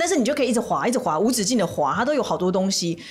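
Talking at a very fast pace, a woman with a Taiwanese accent uses a fairly high pitch and very wide pitch swings over noticeable background noise. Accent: Taiwanese Mandarin. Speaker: lawyer and podcast host. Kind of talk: casual chat.

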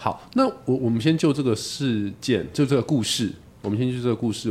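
Here a man of medium pitch has an unremarkable speaking voice. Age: 40s. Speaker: podcast host. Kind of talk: casual chat.

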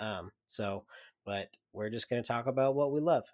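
At a fairly quick pace, a man with an ordinary speaking voice talks at medium pitch with fairly even intonation, the sound dry and close with no echo. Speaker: podcast host. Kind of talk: casual chat. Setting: remote recording.

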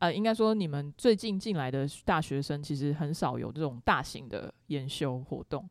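Lively intonation at a moderate pace with hardly any pauses, on a very clean recording with a silent background. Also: woman, very deep, low pitch for a woman. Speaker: podcast host. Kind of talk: casual chat. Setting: studio.

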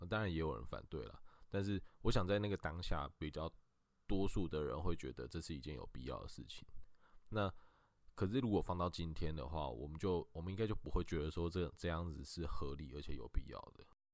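A man with a very deep, low pitch and vocal fry speaks at a fairly quick pace. His intonation is lively, and his loudness swings widely. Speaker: lawyer. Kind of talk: expert legal explanation in a podcast interview. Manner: halting, frequent filler sounds.

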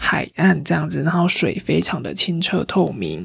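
A somewhat breathy woman speaks at a fairly slow pace with a fairly low pitch. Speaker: travel podcast host. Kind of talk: casual solo travel talk. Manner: livelier, normal chatting pace.

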